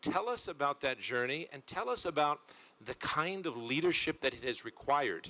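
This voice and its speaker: With a bright, sharp tone, a man's voice moves through very wide pitch swings. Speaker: panel moderator. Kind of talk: panel moderation.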